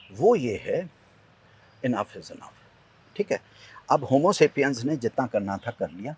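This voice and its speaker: In a dry, close recording with no echo, a man with a fairly high, somewhat breathy voice speaks at a moderate pace, with very wide pitch swings, big swings in loudness, and long, frequent pauses. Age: 50s. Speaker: environmental activist, tree planter. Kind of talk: interview conversation. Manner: animated.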